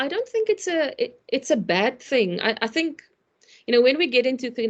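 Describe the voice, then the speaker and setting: A woman talks in a normal speaking voice with lively intonation. Her pace is fairly quick against a quiet background. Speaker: complexity consultant, speaker. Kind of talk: online webinar presentation.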